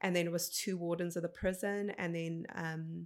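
A woman speaks at a fairly quick pace in a fairly low voice with ordinary pitch variation. The recording is very clean, with a silent background. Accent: South African. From South Africa. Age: 30s. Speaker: motivational speaker. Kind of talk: interview conversation. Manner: animated.

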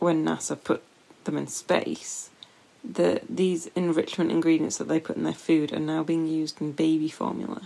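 A woman with a British accent at a moderate pace. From UK. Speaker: astrophysicist and science communicator, podcast host. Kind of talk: casual chat.

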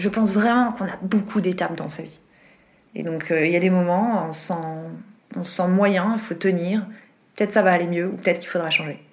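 A woman talks at a fairly quick pace and medium pitch, her intonation fairly even, with long, frequent pauses and audible room echo. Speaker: TV journalist and presenter. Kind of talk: casual interview.

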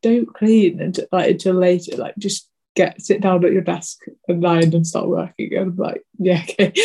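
At a moderate pace, a somewhat breathy voice speaks with monotone, flat intonation. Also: woman. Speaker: illustrator and podcast host. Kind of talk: casual chat. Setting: video call.

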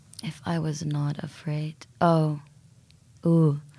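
A woman's somewhat breathy voice. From Saudi Arabia. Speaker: artist. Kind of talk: casual chat. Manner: animated.

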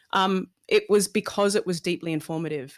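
A woman with an Australian accent speaks at a moderate pace with ordinary pitch variation, in a very clean recording with a silent background and a dry, close sound with no echo. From Melbourne, Australia. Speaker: TV presenter and DJ. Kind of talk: casual interview chat.

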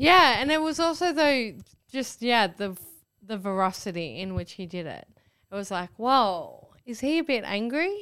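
In an Australian accent, a woman speaks fairly slowly at a fairly high pitch, with very wide pitch swings and big swings in loudness, on a very clean recording with a silent background. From Australia, Northern Rivers NSW. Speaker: comedian. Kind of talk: casual chat.

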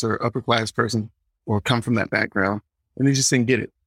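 A man with an Atlanta accent talks at a fairly quick pace. The sound is dry and close with no echo, in a very clean recording with a silent background. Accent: Southern US (Atlanta) English. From US South, Atlanta. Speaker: comedian. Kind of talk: casual chat.

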